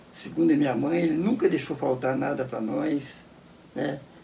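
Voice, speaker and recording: Audible room echo surrounds a man whose fairly high voice rises and falls in very wide pitch swings. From Brazil, Cachoeira Paulista (São Paulo state). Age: 80s+. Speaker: elderly local resident interviewee. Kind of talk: interview, life story. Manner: halting, many repetitions.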